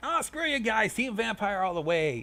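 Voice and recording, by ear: A man's put-on character voice, high-pitched, bright and sharp, with big pitch swings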